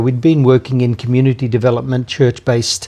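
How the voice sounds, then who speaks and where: A man's dark, mellow, medium-pitched voice with an Australian accent at a fairly quick pace, over a quiet background. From Australia, Hunter Valley NSW. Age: 70s. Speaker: anti-trafficking charity leader. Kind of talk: interview conversation. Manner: hesitant, many fillers.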